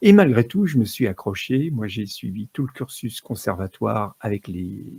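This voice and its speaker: Speaking at a fairly slow pace, a man with a medium pitch and a dark, mellow tone uses lively intonation with some vocal fry, in a dry, close sound with no echo. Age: 60s. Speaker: music therapist. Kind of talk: talk to live audience. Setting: stage with audience. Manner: halting.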